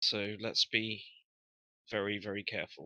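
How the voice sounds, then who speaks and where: A raspy, put-on character voice from a man, pitched fairly low and delivered at a moderate pace. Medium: actual play. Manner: careful, earnest.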